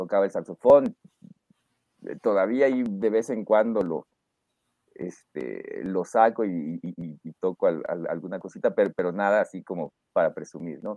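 Talking at a fairly slow pace, a man shows big swings in loudness. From northern Mexico, Reynosa, Tamaulipas. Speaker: lawyer and university lecturer. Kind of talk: interview. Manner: halting, many fillers and repetitions; mature-sounding way of speaking.

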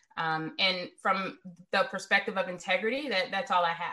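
With an American accent, a woman talks in an ordinary speaking voice at a fairly quick pace. Her pitch is medium with ordinary variation. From US South, Richmond, Virginia. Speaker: cybersecurity executive. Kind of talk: interview.

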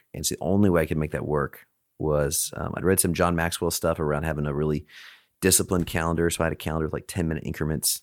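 Very deep and low, a man's voice with vocal fry moves at a very fast pace and fairly even intonation, in a dry, close sound with no echo on a very clean recording with a silent background. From Alaska. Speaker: CEO of a peer advisory organization. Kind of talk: interview conversation.

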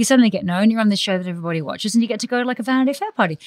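An Australian accent with very wide pitch swings. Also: woman. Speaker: podcast host and magazine editor. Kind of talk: casual interview chat.

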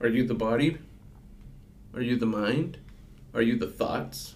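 A man talks at a moderate pace in a medium pitch with vocal fry. His intonation is lively. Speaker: customer service worker and student. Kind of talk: casual chat. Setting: studio with headphones. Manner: soft-spoken.

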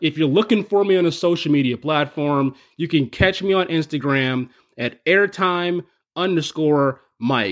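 This man has a normal speaking voice, fairly high in pitch, and talks at a fairly slow pace with an American accent, ordinary pitch variation and a quiet background. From US Northeast, Buffalo. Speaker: podcast contributor, roller coaster enthusiast. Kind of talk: scripted introduction.

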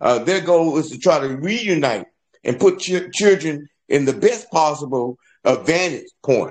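At a fairly slow pace, a man with an American accent talks in a fairly high pitch with lively intonation. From South Florida. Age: 60s. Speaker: congressional candidate. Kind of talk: panel discussion.

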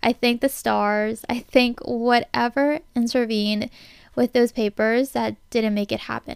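At a fairly slow pace, a woman with an unremarkable speaking voice and a fairly high pitch talks with fairly even intonation. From United States, immigrated from China at four. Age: 20s. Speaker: podcast host. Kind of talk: solo monologue podcast. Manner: conversational.

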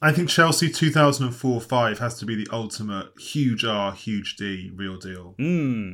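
A man's normal speaking voice at medium pitch, fairly slow, with lively intonation and big swings in loudness, on a very clean recording with a silent background. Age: 30s. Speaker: football journalist. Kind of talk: casual chat.

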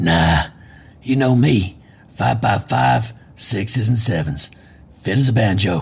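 Using a raspy, put-on character voice, a man speaks at a very slow pace with long, frequent pauses, a fairly low pitch, very wide pitch swings, and very even loudness. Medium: audio drama. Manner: laid-back, slangy.

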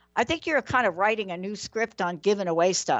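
With music playing in the background, a woman speaks in a New York accent. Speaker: talk show host. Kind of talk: interview show giveaway segment. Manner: animated.

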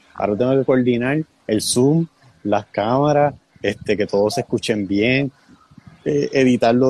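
At a moderate pace, a man with a medium pitch and a dark, mellow tone speaks with ordinary pitch variation in a dry, close sound with no echo. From Puerto Rico. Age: 20s. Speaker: young church leader. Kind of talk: casual chat.

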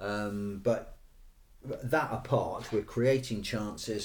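Medium-pitched, somewhat breathy male voice with an English accent and ordinary pitch variation. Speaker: football podcast co-host. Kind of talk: casual chat. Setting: studio.

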